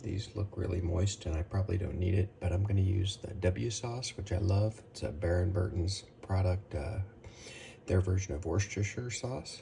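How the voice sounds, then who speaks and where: A man speaks quietly at a moderate pace and a fairly low pitch, with noticeable background noise. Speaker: barbecue cooking channel host. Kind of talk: cooking tutorial. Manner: quiet, keeping voice down.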